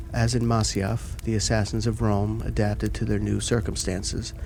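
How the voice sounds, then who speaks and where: Music plays in the background as a man talks at a moderate pace. His tone is soothing and calm. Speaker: ASMR content creator. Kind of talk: ASMR book reading for sleep. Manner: soothing, calm.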